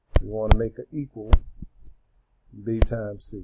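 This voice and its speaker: This man has a dark, mellow tone at a medium pitch. His pitch varies in an ordinary way. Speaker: math teacher. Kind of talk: tutorial.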